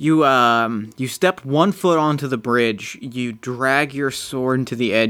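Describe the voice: The recording is plain reading aloud, with pitch that varies in an ordinary way.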